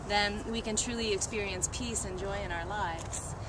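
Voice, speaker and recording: The sound is dry with no echo. Background noise is noticeable. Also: woman. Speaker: speaker. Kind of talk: ceremonial blessing speech. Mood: warm, joyful, laughing. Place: open country. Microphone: camera far.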